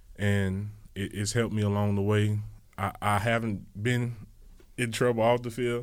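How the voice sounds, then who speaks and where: With a Louisiana accent, a man talks at fairly low pitch and a moderate pace in a monotone, flat intonation with long, frequent pauses. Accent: Southern US, Louisiana. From Louisiana, New Iberia. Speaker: pro football player. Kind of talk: radio interview. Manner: passionate, intense.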